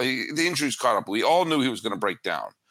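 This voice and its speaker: A man's bright, sharp tone and vocal fry come through in a very clean recording with a silent background. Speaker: baseball podcaster. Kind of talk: casual sports talk interview.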